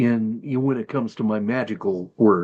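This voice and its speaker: A man is speaking. His pace is moderate. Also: quiet background. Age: 60s. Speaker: hermetic magic practitioner and teacher. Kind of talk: tutorial. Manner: halting.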